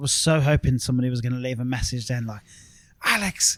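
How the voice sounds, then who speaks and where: A man's medium-pitched voice with an Irish accent. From Ireland. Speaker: podcast host. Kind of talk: casual chat.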